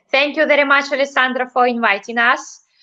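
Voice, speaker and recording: A bright, sharp voice carries a Russian accent. Its pitch varies in an ordinary way. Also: woman. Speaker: ballroom dancer. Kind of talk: interview. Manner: halting.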